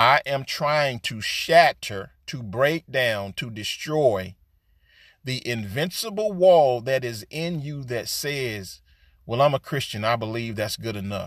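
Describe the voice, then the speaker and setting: A man at medium pitch with lively intonation and big swings in loudness, very slow in pace, in a very clean recording with a silent background. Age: 60s. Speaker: preacher. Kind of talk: sermon. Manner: repetitive, emphatic.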